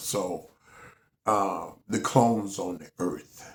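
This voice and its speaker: Very deep and low in pitch, a man's voice comes across somewhat breathy. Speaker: video blogger. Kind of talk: casual monologue. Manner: hesitant with fillers.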